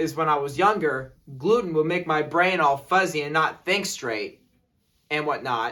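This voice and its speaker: The man's voice has a bright, sharp tone. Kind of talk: casual talk to camera. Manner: hesitant, many fillers.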